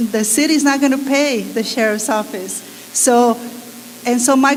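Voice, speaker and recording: A woman speaks at a high pitch and moderate pace in a monotone, flat delivery. Noticeable background noise and audible room echo fill the recording. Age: 60s. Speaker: attorney speaking at a public meeting. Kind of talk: public comment at a community forum.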